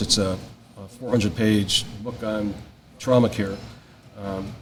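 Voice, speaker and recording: Amid noticeable background noise, a man speaks at a medium pitch with fairly even intonation. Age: 60s. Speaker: paramedic educator and retired fire chief. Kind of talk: casual interview chat. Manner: halting, many fillers.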